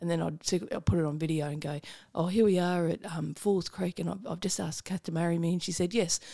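With an Australian accent, a woman talks at a very fast pace in a dark, mellow tone, her pitch fairly low with ordinary variation. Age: 40s. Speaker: comedian. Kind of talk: casual chat.

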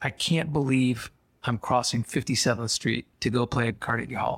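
A man puts on a raspy character voice, keeping a medium pitch and a moderate pace. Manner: marveling, sincere.

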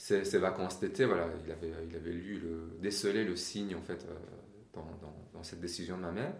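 In a room with audible echo, a man with a very deep, low voice speaks at a moderate pace, somewhat breathy, with fairly even intonation and big swings in loudness. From Iran. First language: Persian (speaking French). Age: 40s. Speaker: interview guest. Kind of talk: interview. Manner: hesitant, repeats words.

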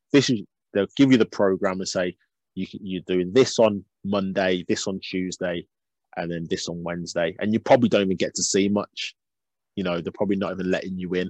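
A man with a Birmingham accent speaks at a fairly quick pace with a very deep, low pitch and fairly even intonation. The sound is dry and close with no echo, over a quiet background. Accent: Birmingham (Brummie) English. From Birmingham, England. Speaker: youth football coach. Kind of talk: casual interview.

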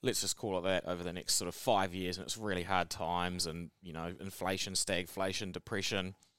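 Speaking fairly quickly with hardly any pauses, a man with a New Zealand accent has a very deep, low pitch. His intonation stays fairly even. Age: 30s. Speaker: podcast co-host. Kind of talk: casual chat.

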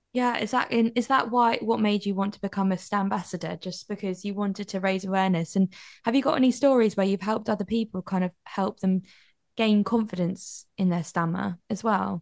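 Someone with a British accent talks fairly quickly with fairly even intonation over a quiet background. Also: woman, medium pitch for a woman. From UK. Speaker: podcast host. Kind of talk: interview.

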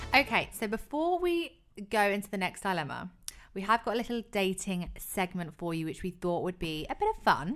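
Her intonation is lively and her pitch medium as a woman talks at a moderate pace. She has an unremarkable speaking voice. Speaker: podcast co-host. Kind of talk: casual chat.

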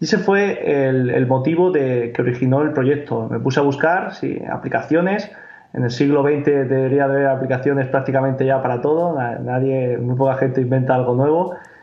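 Against noticeable background noise and audible room echo, a man of medium pitch talks at a fairly quick pace with very even loudness and ordinary pitch variation. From Spain, Murcia. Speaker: startup founder. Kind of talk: interview.

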